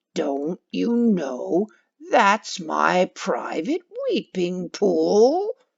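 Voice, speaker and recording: A woman's growling, put-on character voice at medium pitch, delivered very slowly. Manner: angry.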